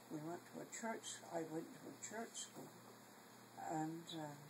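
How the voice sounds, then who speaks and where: Noticeable background noise runs beneath a woman speaking at a fairly slow pace with ordinary pitch variation. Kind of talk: family storytelling, casual talk.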